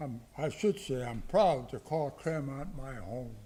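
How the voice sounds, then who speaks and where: His intonation is lively, and his pitch is fairly high for a man. He speaks at a fairly slow pace in a somewhat breathy voice. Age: 80s+. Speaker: honoree at city council meeting. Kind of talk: short speech.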